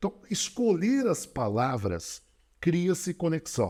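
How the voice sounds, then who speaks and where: The background is silent and the recording very clean. A man talks fairly slowly, his pitch swinging very widely. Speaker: public speaking coach and speaker. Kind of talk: podcast interview, instructive talk. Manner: varied volume, intensity and speed; animated, rhetorical.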